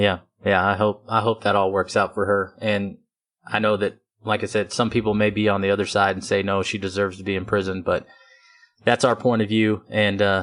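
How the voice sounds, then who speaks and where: A man's fairly low voice with a West Texas accent, a fairly quick pace and monotone, flat intonation. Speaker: podcast host. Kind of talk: casual chat.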